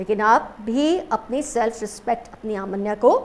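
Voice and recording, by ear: At a moderate pace, a woman speaks with a fairly high pitch and a slightly mellow tone.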